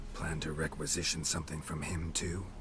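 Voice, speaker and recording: A man does a put-on character voice with a very deep, low pitch. He goes at a fairly quick pace against loud background noise. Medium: short film. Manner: terse, clipped, dry.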